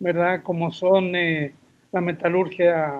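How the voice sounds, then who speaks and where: A high-pitched man at a very slow pace. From Chile. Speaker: forestry professor and consultant. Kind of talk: interview. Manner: hesitant, with fillers.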